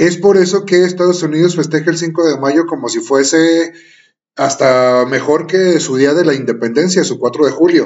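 With a normal speaking voice, a man talks at a moderate pace, his fairly high pitch showing ordinary variation. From Mexico. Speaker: podcast co-host. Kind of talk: panel discussion.

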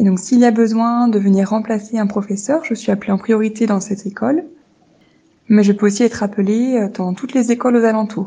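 A woman speaks at a fairly quick pace in a gentle, dark, mellow tone that is somewhat breathy, with fairly even intonation. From France. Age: 20s. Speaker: primary school teacher. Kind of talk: monologue.

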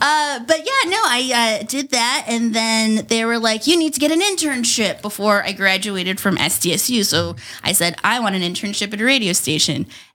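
A woman with a fairly high pitch and lively intonation at a moderate pace, over noticeable background noise. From New Mexico. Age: 30s. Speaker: radio host. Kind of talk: casual chat.

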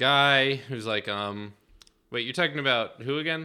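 Lively intonation runs through an ordinary speaking voice at a moderate pace. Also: man. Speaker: podcast co-host. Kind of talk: casual banter, film review podcast.

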